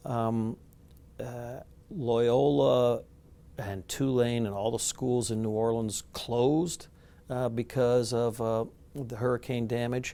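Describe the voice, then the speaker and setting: The voice has a dark, mellow tone, ordinary pitch variation, and a very slow pace. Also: man, medium pitch for a man. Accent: American. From US Midwest. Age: 60s. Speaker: law professor. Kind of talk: interview monologue. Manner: halting, many fillers.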